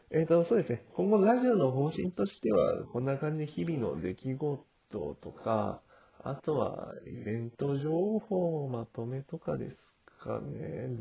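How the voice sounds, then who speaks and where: A man with a fairly high, somewhat breathy voice speaks at a fairly slow pace. His pitch swings very widely. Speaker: amateur podcast host and online gamer. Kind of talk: casual solo podcast monologue. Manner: halting, stumbling over words; hesitant with many fillers and nervous laughs.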